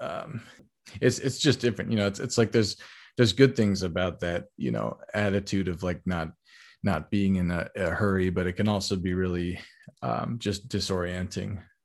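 A moderate pace and ordinary pitch variation, over a quiet background. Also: man, fairly low pitch for a man. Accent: American. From California, San Francisco Bay Area. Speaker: jazz pianist. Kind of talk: interview. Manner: halting.

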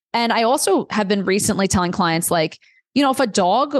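A woman with an American accent at a very fast pace, with very wide pitch swings and a dry, close sound with no echo. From New York City, Queens. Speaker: dietitian. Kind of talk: podcast interview.

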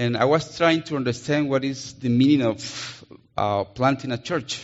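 A man with a Colombian accent, medium-pitched and fairly slow. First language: Spanish. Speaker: missionary preacher. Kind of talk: sermon. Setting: church.

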